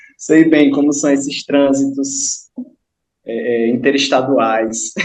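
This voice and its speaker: A man's fairly high voice, very slow in pace, with fairly even intonation. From Brazilian Northeast, Kariri-Xocó village on São Francisco river. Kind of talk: online group discussion.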